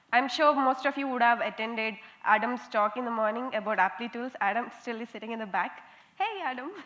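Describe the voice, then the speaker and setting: Fairly quick speech with an Indian accent, set against noticeable background noise. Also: woman, high pitch for a woman, ordinary pitch variation. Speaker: conference speaker, software quality analyst. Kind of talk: conference talk. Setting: stage with audience. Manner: interactive, lively.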